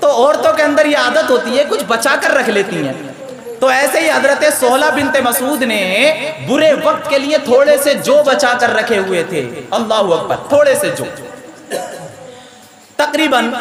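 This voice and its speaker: Crowd noise fills the background as a man speaks. His pitch is extremely high and his tone animated. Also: ordinary pitch variation. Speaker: Islamic preacher (mufti). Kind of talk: Islamic sermon (taqreer) delivered to a live audience. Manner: animated, preaching with humor and storytelling.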